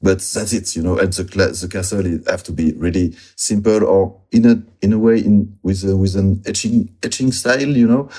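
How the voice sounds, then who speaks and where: A man with a French accent speaks at a moderate pace and a fairly low pitch, his dark, mellow tone showing ordinary pitch variation and hardly any pauses. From southwest France, near Bordeaux. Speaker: illustrator. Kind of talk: interview. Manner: halting, many fillers.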